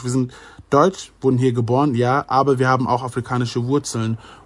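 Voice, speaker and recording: A man speaks at a fairly quick pace in an ordinary speaking voice against a quiet background. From Germany (Ghanaian family). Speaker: YouTuber. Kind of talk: casual chat.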